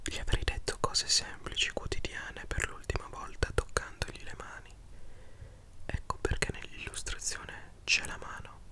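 Whispering at a moderate pace, a man's loudness swings widely over noticeable background noise. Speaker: book reader, commentator. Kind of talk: soft reading and commentary, ASMR-like. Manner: close intimate ASMR whisper. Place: home room. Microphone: studio mic.

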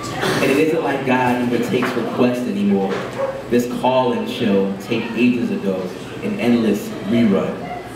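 Ordinary pitch variation marks this man speaking at a moderate pace. Noticeable background noise and audible room echo fill the recording. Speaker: poet. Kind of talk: poetry reading. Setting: open mic at a cafe. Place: cafe.

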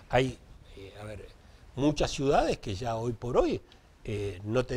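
The voice belongs to a man. It sounds somewhat breathy. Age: 60s. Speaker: municipal traffic director; interview guest. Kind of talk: live TV interview. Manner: halting, repeats words. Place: studio.

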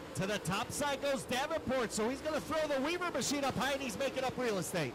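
With noticeable background noise behind him, a man speaks very fast in an extremely high pitch and with lively intonation. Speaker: dirt track race announcer. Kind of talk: live race announcing, play-by-play. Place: booth.

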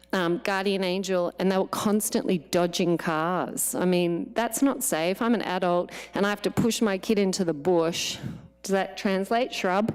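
Here a woman talks in an Australian accent at a moderate pace and medium pitch. Her loudness is very even and her pitch variation ordinary. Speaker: parent speaking at public comment. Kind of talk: public comment at board meeting. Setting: board of education meeting.

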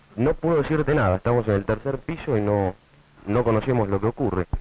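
At a fairly quick pace, a man with medium pitch speaks with ordinary pitch variation.

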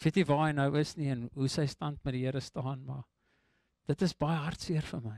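A man's fairly high voice with fairly even intonation, dry sound with no echo and a quiet background. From South Africa, Eastern Cape Karoo (Graaff-Reinet); Eastern Cape, South Africa. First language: English (speaking Afrikaans). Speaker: preacher. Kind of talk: sermon. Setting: church. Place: church. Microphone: handheld.

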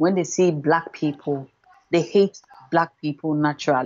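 This woman's voice sits low, with a slightly mellow tone. She talks at a moderate pace.

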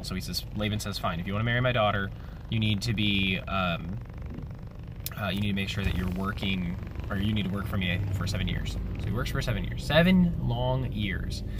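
Through noticeable background noise, a man speaks at a fairly quick pace. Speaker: devotional vlogger. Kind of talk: casual bible devotional talk. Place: car. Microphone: phone near.

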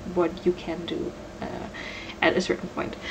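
There is noticeable background noise behind the woman's voice. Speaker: game developer. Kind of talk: pre-recorded talk. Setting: home recording.

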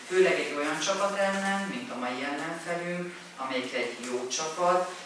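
Speech comes at a very slow pace. Noticeable background noise and strong room echo fill the recording. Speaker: interpreter. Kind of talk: consecutive interpreting at press conference. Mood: subdued, self-critical. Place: meeting room.

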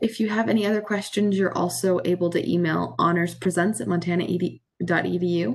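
At a moderate pace, a woman speaks with a fairly low pitch and vocal fry. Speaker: student event moderator; event host. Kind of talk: Q&A moderation. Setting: video call. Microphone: video call.

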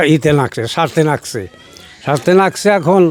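A man speaks in a high-pitched voice. His pitch varies in an ordinary way. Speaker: father of a village inventor. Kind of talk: interview.

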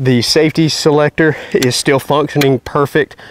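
Speaking at a moderate pace with fairly even intonation, a man talks in a Southern US accent at a fairly high pitch. The sound is dry with no echo, and there is light background noise. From North Carolina. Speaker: YouTube hunting and gun reviewer; gun reviewer. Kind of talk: product review. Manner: casual, conversational. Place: open country.

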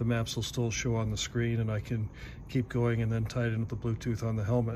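Here a man talks at a very fast pace. Noticeable background noise is present. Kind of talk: tutorial. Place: garage. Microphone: phone near.

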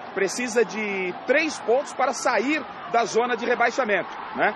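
A man talks at an extremely high pitch. Noticeable background noise runs behind him. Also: dry sound with no echo. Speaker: TV sports reporter. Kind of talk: news report. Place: street. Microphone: handheld.

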